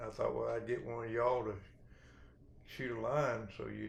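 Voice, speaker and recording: Audible room echo surrounds a man speaking at a fairly slow pace. He talks with a west Texas accent. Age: 60s. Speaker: rancher. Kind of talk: storytelling.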